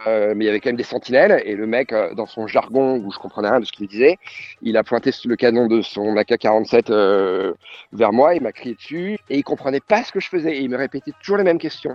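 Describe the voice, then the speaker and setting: A man talks at a fairly quick pace. His pitch is medium and his intonation lively. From France and Mexico (Paris, childhood in Mexico). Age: 40s. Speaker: journalist. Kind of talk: casual interview. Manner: hesitant, many repetitions and fillers.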